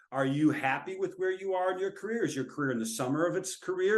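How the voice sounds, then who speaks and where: A man with an American accent talks at a fairly quick pace in a high pitch. Audible room echo surrounds his voice. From US Midwest (central Minnesota). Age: 60s. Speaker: professor. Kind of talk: webinar lecture.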